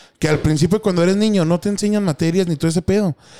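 A man talks at a very fast pace with a dark, mellow tone. The sound is dry and close with no echo. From Mexico, Chihuahua (Sierra Madre Occidental). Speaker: podcast host. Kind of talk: casual chat.

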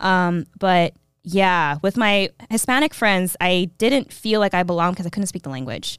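In a plain, everyday voice, a woman speaks at a moderate pace with an American accent, her medium pitch carried by lively intonation. The recording is very clean and dry, close-miked with no echo and a silent background. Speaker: history teacher. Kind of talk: casual interview testimony. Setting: studio.

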